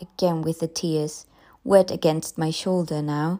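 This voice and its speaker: In a very clean recording with a silent background, a woman speaks at a fairly slow pace in a dramatic tone. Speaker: audiobook narrator. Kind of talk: literary audiobook reading of a ghost story, first-person narration with quoted dialogue.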